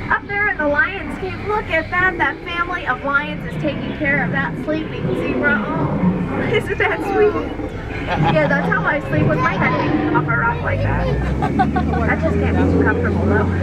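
Over crowd noise in the background, a woman talks at a moderate pace. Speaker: ride tour guide. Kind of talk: scripted tour commentary with jokes. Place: boat.

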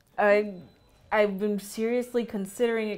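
At a moderate pace, the woman delivers her words. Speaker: student podcast co-host. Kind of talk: casual chat. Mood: earnest, personal. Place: meeting room. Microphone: lapel.

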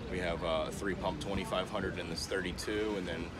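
Music plays in the background. Over it, a man talks at a moderate pace. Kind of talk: product demo talk. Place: boat. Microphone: phone near.

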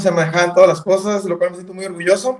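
Audible room echo surrounds a man speaking with a high pitch against a quiet background. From northern Mexico. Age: 30s. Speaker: professional cyclist; guest. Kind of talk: interview. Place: home room. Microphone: video call.

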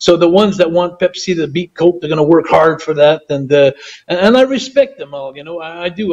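A man with a high voice speaks at a fairly quick pace against a quiet background. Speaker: interview guest. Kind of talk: interview answer. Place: home room. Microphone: video call.

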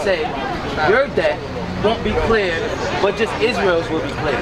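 The speaker keeps a moderate pace while crowd noise carries on in the background. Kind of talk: street debate argument. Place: street.

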